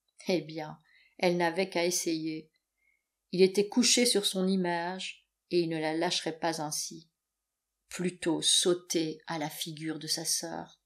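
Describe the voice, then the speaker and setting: At a very slow pace, a woman speaks with a fairly low pitch and fairly even intonation. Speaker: audiobook narrator. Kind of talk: dramatic narration, audiobook reading aloud of a novel. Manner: expressive, tense, dramatically paced.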